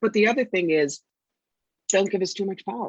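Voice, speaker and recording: Medium-pitched woman with an American accent and lively intonation, in a dry, close sound with no echo. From New York. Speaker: psychic and intuitive counselor. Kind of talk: podcast interview. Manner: fast.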